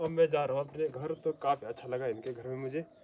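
A man with a plain, everyday voice speaks at a fairly quick pace. His pitch is fairly high, with light background noise. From Uttarakhand, Pauri Garhwal; Uttarakhand. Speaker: village vlogger. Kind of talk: casual chat.

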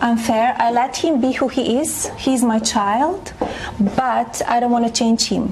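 A woman talks with a strong non-native accent and fairly high pitch. Her pitch varies in an ordinary way over light background noise. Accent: heavy foreign. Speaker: first lady. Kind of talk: interview answer. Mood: calm, composed. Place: home room. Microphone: lapel.

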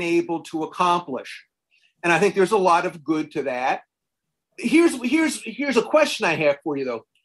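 Over a quiet background, a man with a high pitch speaks at a moderate pace. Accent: American. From South Carolina. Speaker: law professor and interviewer; law professor, interviewer. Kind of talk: interview. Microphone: video call.

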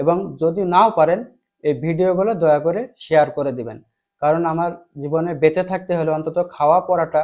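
The man's voice sits at a high pitch with ordinary pitch variation. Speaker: teacher. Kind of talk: tutorial.

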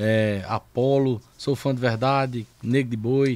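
A man talks in a northeastern Brazilian accent with ordinary pitch variation. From Brazilian Northeast (Paraíba). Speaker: podcast host. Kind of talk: casual chat. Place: studio. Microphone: studio mic.

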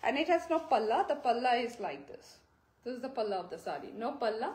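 A woman speaks at a moderate pace in a high pitch. Audible echo fills the room around her. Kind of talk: live sales presentation. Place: shop. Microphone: phone near.

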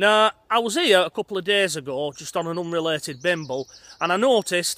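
Bright and sharp in tone, a man's high voice shows ordinary pitch variation in a dry sound with no echo. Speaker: vlogger. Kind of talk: casual vlog chat. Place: open country. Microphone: phone near.

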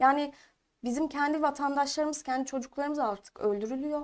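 Speaking at a moderate pace, a woman uses a high pitch and fairly even intonation. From Eskişehir, Turkey; Turkey. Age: 20s. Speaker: parliamentary candidate and university student; candidate. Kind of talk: political interview. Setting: studio. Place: studio. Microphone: lapel.

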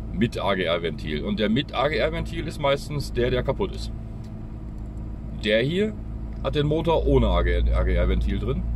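With noticeable background noise and a dry sound with no echo, a man speaks at a fairly slow pace with long, frequent pauses. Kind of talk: casual vlog commentary. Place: car. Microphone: phone near.

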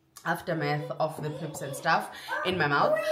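Over noticeable background noise, a woman talks at a fairly quick pace. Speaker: vlogger. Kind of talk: casual vlog chat. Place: kitchen.

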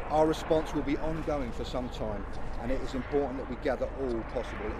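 Fairly brisk male speech against loud background noise. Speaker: police spokesman. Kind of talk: formal police news briefing. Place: street. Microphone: handheld.

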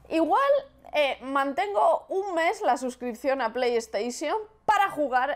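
With a Castilian accent, a woman speaks at a fairly slow pace while her pitch swings very widely. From Spain. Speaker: gaming youtuber. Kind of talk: gameplay commentary. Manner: casual, hesitant. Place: home room.

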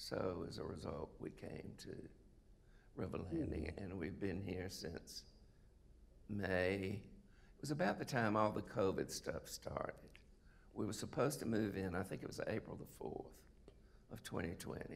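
Over light background noise, a man with a very deep, low pitch speaks at a fairly slow pace. His intonation is lively. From US South, South Carolina (Sumter); South Carolina. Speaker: retired oncologist. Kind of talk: interview, life story. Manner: halting, many fillers. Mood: relaxed conversational recollection. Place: stage.

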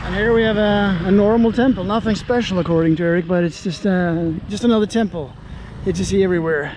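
A man speaks at a very fast pace with a high pitch and ordinary pitch variation. Noticeable background noise is present. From Norway. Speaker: travel vlogger. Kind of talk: casual chat. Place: open country. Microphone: phone near.

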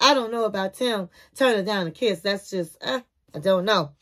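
An animated woman's voice, bright and sharp in tone, over a quiet background. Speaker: TV review youtuber. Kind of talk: casual TV show review commentary. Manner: animated, chatty. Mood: playful, gossipy. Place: home room. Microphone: phone near.

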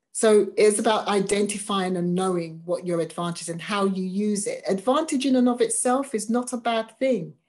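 Speaking with an English accent against a quiet background, a woman at a medium pitch keeps a moderate pace, ordinary pitch variation and hardly any pauses. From England. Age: 50s. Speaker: diversity vocations officer for a church; webinar speaker. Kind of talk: webinar talk. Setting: video call. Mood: earnest, engaged. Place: home room. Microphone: webcam.

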